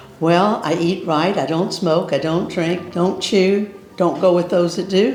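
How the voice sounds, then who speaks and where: Over noticeable background noise and audible room echo, a woman talks at a fairly slow pace with a fairly low pitch and fairly even intonation. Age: 80s+. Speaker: bed and breakfast host. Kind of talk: casual interview.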